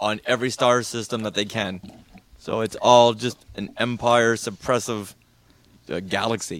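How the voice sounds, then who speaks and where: A man with a plain, everyday voice, medium pitch and moderate pace. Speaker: podcast guest and Star Wars fan. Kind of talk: casual chat.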